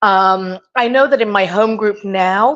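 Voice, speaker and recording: Against a quiet background, a woman with an English accent speaks at a fairly slow pace, her fairly high pitch carrying lively intonation. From England. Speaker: open forum participant, historical reenactment society member. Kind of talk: open forum discussion.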